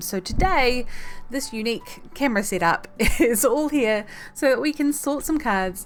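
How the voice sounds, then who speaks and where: A woman talks at a fairly slow pace. Behind her, music plays in the background. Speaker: streamer. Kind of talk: casual talk to camera.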